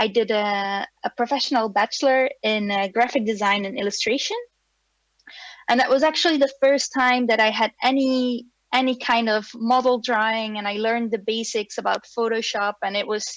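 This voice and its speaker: A woman speaks with a Flemish accent at a fairly high pitch. Her pace is moderate and her intonation fairly even. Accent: Belgian (Flemish) English. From Belgium. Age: 30s. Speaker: animator and film director. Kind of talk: online presentation. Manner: hesitant, many fillers.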